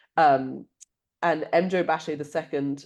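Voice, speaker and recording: A woman with a London accent speaks fairly slowly in a very deep, low voice against a quiet background. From London, England. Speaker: author. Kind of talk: interview.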